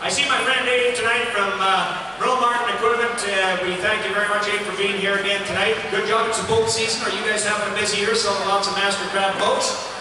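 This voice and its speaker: Delivered at a very fast pace with hardly any pauses, the monotone, flat intonation comes through noticeable background noise and strong room echo. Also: man, high pitch for a man. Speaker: charity auctioneer. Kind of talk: live charity auction patter, rapid-fire bidding calls. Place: hall.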